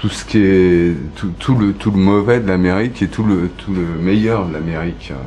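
Noticeable background noise accompanies a man with a very deep, low pitch. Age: 40s. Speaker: photographer. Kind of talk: interview. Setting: recorded at home. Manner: halting, many hesitations.

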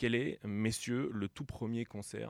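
A man's voice is captured with a dry, close sound and no echo. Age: 30s. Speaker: radio host. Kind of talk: casual chat.

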